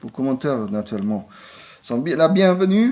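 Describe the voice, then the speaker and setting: This man has a non-native accent. His pitch swings are very wide. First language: not French (speaking French). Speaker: toy reviewer. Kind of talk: product review. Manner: halting, many hesitations.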